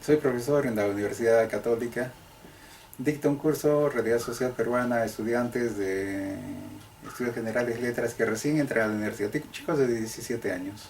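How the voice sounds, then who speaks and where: A man speaks at a medium pitch and a fairly quick pace. His intonation stays fairly even over noticeable background noise. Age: 60s. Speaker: sociologist and historian, professor. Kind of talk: interview.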